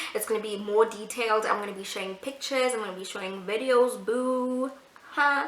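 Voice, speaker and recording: Over noticeable background noise and audible room echo, a woman with a fairly high pitch talks at a fairly quick pace in an animated tone, her loudness swinging widely. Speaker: YouTuber. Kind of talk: casual vlog talk to camera. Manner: fast.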